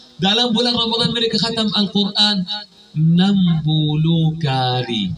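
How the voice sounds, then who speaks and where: A man with a fairly high pitch talks amid noticeable background noise. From Palestine. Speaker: imam, preacher. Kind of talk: sermon.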